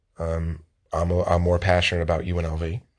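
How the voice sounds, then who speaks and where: At a moderate pace, a man talks in a very deep, low pitch against a quiet background. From Las Vegas, US. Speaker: sports podcast host. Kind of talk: casual chat.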